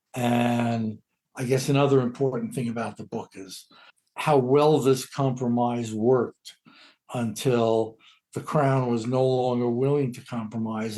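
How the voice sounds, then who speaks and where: An American-accented man speaks at medium pitch in a dark, mellow tone, flat and monotone, at a fairly slow pace with big swings in loudness. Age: 80s+. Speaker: legal historian and author. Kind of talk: interview. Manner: halting.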